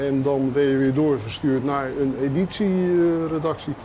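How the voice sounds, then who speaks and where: A man with a fairly high pitch speaks with fairly even intonation. Light background noise runs underneath. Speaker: journalist. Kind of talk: casual interview. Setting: on location walking tour. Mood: relaxed, nostalgic. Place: street. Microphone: lapel.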